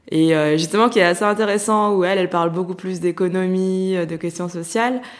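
Speaking at a very fast pace, a woman with a fairly low pitch uses ordinary pitch variation. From France, Lyon. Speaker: art critic. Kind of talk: interview. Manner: hesitant, many fillers.

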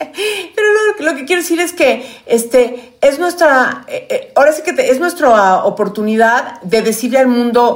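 A woman with a high pitch speaks at a fairly slow pace, with very wide pitch swings and hardly any pauses. Noticeable background noise runs underneath. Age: 50s. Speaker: podcast co-host. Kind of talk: casual chat.

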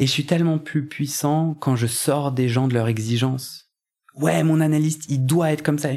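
This man has a fairly high pitch and a dark, mellow tone. He talks at a moderate pace with fairly even intonation. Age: 30s. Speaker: podcaster and coach. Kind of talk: personal testimony in a casual interview. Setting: at home. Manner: halting, many hesitations.

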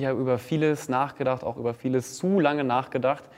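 A man speaks at a medium pitch with an unremarkable speaking voice. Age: 20s. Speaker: influencer and presenter. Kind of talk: casual chat.

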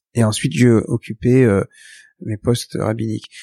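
A man speaks at a fairly slow pace in a medium pitch, his tone dark and mellow with ordinary pitch variation. The sound is dry and close with no echo, on a very clean recording with a silent background. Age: 60s. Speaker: rabbi. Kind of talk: interview. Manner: halting.

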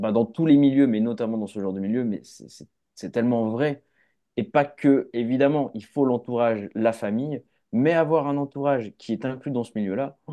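Ordinary pitch variation and a fairly slow pace mark an unremarkable speaking voice. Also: man. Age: 20s. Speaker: film director. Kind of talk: casual chat.

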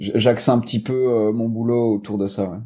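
Speaking with a slight Belgian accent, a man with a medium pitch and a dark, mellow tone keeps a moderate pace and fairly even intonation. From Belgium. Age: 20s. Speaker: sports nutrition entrepreneur. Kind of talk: casual interview. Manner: hesitant, many fillers.

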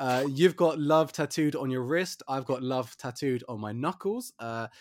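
A man has a plain, everyday voice with a fairly high pitch. He talks at a moderate pace with ordinary pitch variation. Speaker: podcast host. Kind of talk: casual chat. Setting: remote recording from isolation.

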